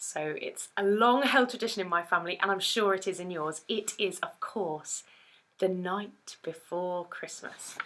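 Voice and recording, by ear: The tone is fairly bright, and the words come at a fairly slow pace. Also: woman, fairly low pitch for a woman, ordinary pitch variation.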